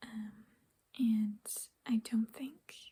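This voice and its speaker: The speaker is soft-spoken, talking in a whisper. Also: woman. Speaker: ASMR creator. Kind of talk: ASMR nail polish ramble to camera. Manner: soft-spoken, whispered, rambling.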